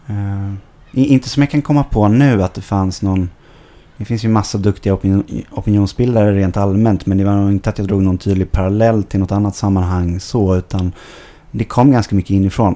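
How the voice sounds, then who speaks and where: A man's dark, mellow tone, fairly low in pitch, with ordinary pitch variation at a fairly quick pace. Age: 20s. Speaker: football club board member. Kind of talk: podcast interview. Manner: hesitant, many fillers.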